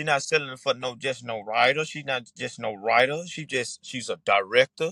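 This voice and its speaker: In a strong Mississippi accent, a man speaks in an animated tone, the sound dry and close with no echo. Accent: Mississippi Southern, strong dialect. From Mississippi, US South. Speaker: Southern Soul singer. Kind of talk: podcast interview.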